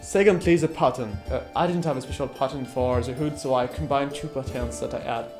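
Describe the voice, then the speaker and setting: A man with a French accent talks at a fairly quick pace in a medium pitch, his intonation lively, with music in the background. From France. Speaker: costume maker. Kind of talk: sewing tutorial.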